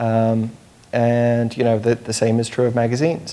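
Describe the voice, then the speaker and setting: Noticeable background noise sits behind a man speaking with a British accent. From United Kingdom. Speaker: journalist, panelist. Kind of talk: panel discussion. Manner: hesitant, many fillers.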